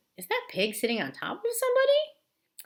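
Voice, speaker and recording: A squeaky, put-on character voice at extremely high pitch and a moderate pace. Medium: read story. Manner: formal, deliberate.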